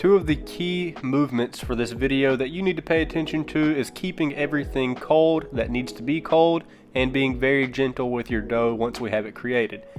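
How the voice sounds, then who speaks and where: Speaking with a slight Southern US accent, a man at medium pitch keeps a moderate pace with hardly any pauses and ordinary pitch variation. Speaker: cooking youtuber. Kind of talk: cooking tutorial.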